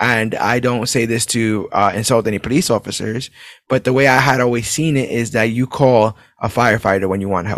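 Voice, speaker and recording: In an American accent, the speaker has an energetic tone, ordinary pitch variation and a fairly quick pace. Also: man. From New York City (Brooklyn). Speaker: podcast host. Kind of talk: casual chat.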